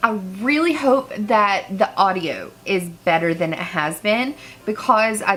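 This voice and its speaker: A woman of medium pitch talks at a fairly slow pace with music in the background. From rural small town. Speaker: makeup artist and beauty vlogger. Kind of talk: makeup tutorial. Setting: home, filming near a couch. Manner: casual, rambling. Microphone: cheap unidirectional microphone.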